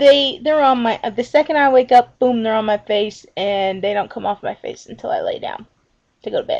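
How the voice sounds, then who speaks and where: With an American accent, a woman speaks in a high voice. Her pitch varies in an ordinary way. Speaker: vlogger. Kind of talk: casual chat. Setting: laptop webcam video. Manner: loud. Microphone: laptop built-in camera.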